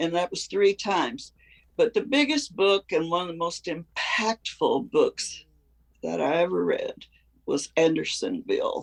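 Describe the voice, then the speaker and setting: The speaker has a Southern US accent. The pace is fairly slow. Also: woman. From US South. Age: 80s+. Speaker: retired teacher. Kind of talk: interview. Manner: halting.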